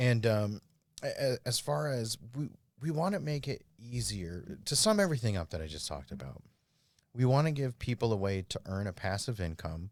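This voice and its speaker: The voice makes very wide pitch swings in a very clean recording with a silent background. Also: man, medium pitch for a man. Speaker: cryptocurrency startup founder. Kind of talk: podcast interview, pitching a product. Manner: fast.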